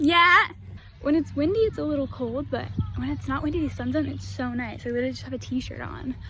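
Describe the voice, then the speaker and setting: A woman talks at a fairly quick pace with an American accent over noticeable background noise. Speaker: au pair vlogger. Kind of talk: casual vlog. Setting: outdoors. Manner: whispering.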